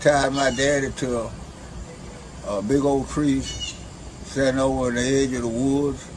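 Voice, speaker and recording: A man with an American accent speaks fairly slowly at a medium pitch, his intonation monotone and flat. Noticeable background noise runs underneath. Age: 80s+. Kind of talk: interview answer.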